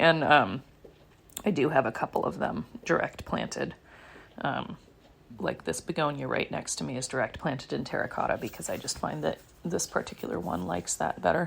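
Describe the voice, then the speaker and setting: A woman's voice with vocal fry and very wide pitch swings, at a moderate pace. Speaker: podcast host, houseplant coach. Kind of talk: casual monologue. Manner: rambling, filler-heavy.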